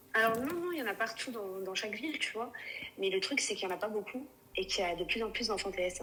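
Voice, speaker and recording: A woman talks at a very fast pace with a fairly high pitch and lively intonation. Noticeable background noise runs behind her. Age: 30s. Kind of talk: live call-in conversation. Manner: halting.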